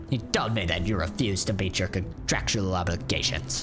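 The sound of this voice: Over loud music in the background, a man uses a put-on character voice with a very deep, low pitch, speaking at a fairly quick pace.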